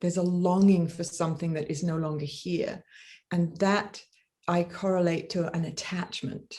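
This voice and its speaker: In an English accent, a woman with a fairly low, somewhat breathy voice and a dark, mellow tone speaks at a moderate pace in a flat monotone. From England. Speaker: death doula teacher. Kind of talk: interview. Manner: halting.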